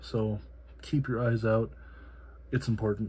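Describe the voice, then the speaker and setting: A soft-spoken man talks with a dark, mellow tone and fairly low pitch. His voice is somewhat breathy. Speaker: EDC gear reviewer. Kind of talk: product review. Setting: home, late at night. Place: home room. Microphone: phone near.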